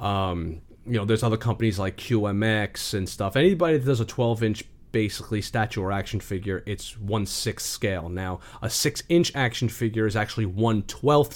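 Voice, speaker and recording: In a New York accent, the speaker talks at a moderate pace with ordinary pitch variation on a very clean recording with a silent background. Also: man. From New York, the Bronx. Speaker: YouTuber and action figure collector. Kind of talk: casual interview chat.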